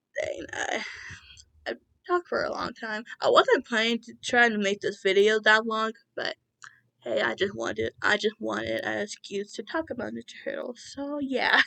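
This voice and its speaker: A woman speaks at a moderate pace with big swings in loudness, recorded dry and close with no echo. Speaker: YouTuber. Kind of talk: casual vlog commentary. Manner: halting.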